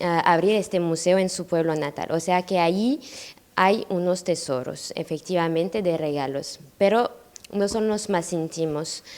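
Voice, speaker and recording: Noticeable background noise sits behind a woman speaking with a French accent at a fairly slow pace. Her pitch is fairly low, with ordinary variation. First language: French (speaking Spanish). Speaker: granddaughter of a painter's friend. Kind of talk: public talk. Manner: halting.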